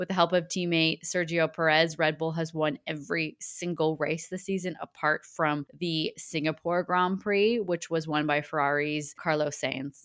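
In a dry, close sound with no echo, a woman with an ordinary speaking voice talks with hardly any pauses, at a fairly low pitch and with fairly even intonation. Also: moderate pace. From Canada. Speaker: sports podcast co-host. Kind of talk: casual chat; scripted news reading.

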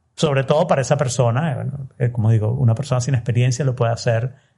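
A man speaks at a fairly quick pace with ordinary pitch variation. His tone is dark and mellow, and somewhat breathy. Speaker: podcaster. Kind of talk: interview.

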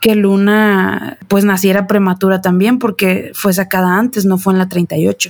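A woman with a normal speaking voice talks at a medium pitch and a moderate pace. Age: 30s. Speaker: mother. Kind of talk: casual chat.

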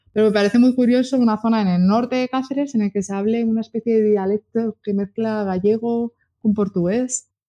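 Her tone dark and mellow, a woman talks at a moderate pace with a fairly high pitch. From Spain, Burgos. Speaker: travel blogger. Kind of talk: casual chat. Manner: animated.

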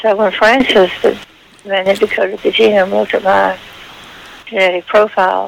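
With vocal fry, a woman of medium pitch speaks at a moderate pace and keeps her pitch fairly flat.

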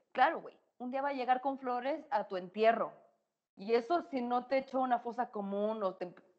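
The delivery is animated, with big swings in loudness and ordinary pitch variation. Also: woman, high pitch for a woman, moderate pace. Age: 30s. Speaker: psychologist and sexologist. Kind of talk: casual chat.

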